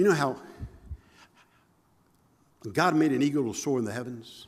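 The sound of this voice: The voice has a slightly mellow tone with a slightly husky edge. Its pace is moderate. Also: man.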